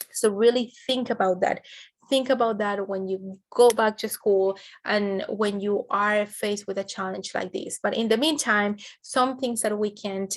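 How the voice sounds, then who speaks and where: A woman speaks in a Spanish accent at a moderate pace. Her pitch is medium. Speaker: educational trainer. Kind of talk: training webinar presentation. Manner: frequent fillers, some false starts.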